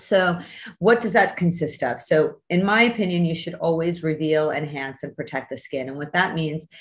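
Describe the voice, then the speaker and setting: Somewhat breathy, a woman speaks at a moderate pace and fairly low pitch, with ordinary pitch variation and big swings in loudness. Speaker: skin doctor hosting a masterclass. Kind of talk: online lecture. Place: home room. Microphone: video call.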